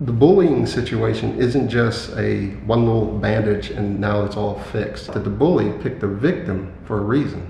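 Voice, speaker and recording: With an American accent and a fairly low pitch, a man talks at a moderate pace with ordinary pitch variation and hardly any pauses, with audible room echo and noticeable background noise. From US, Philadelphia. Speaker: security specialist and trainer. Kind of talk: casual interview.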